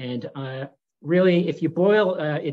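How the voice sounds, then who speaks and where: The man's intonation stays fairly even as he talks. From Canada. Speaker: neurologist; interviewee. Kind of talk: interview monologue; interview answer. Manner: hesitant, many fillers. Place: home room. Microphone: webcam.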